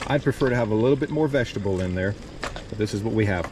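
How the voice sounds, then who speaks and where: Fairly quick speech from a man with an American accent and a fairly low pitch, over noticeable background noise. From US South, South Louisiana (Cajun). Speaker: travel vlogger. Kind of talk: cooking tutorial. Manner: casual.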